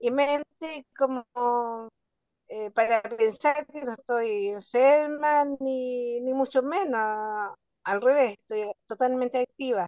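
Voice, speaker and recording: A woman's high-pitched voice at a very slow pace. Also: ordinary pitch variation. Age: 70s. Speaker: workshop participant. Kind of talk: question from audience. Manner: hesitant, many fillers.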